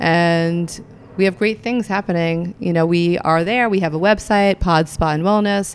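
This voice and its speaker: A woman's normal speaking voice, fairly low in pitch, with fairly even intonation. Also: moderate pace. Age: 50s. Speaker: yoga teacher and wellness manager. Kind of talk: interview. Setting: studio.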